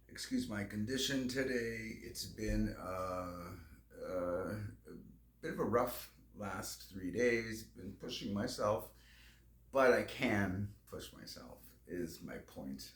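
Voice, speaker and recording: Amid audible room echo, a man speaks at a very slow pace with big swings in loudness. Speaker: vlogger. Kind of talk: casual vlog monologue. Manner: halting.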